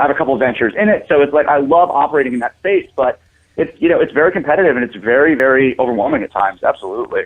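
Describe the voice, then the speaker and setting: Speaking at a very fast pace, a man uses lively intonation in a fairly high pitch. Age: 20s. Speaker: music manager and entrepreneur. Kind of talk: casual chat. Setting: call-in radio show.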